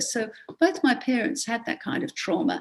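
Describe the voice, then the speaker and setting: A woman with an Australian accent speaks at a moderate pace in a somewhat breathy voice, her pitch swinging very widely. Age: 70s. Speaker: education historian and author. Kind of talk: podcast interview. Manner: halting, many fillers.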